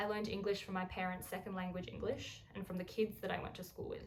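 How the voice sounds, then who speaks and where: Someone with an Australian accent speaks at a very fast pace, with audible room echo. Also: woman. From Australia, Melbourne. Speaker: essay writer. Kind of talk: reading aloud.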